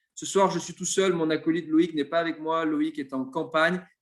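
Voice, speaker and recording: This is a man with a normal speaking voice. He keeps a moderate pace and fairly even intonation. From Marseille, southern France. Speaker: web show host. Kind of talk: live interview.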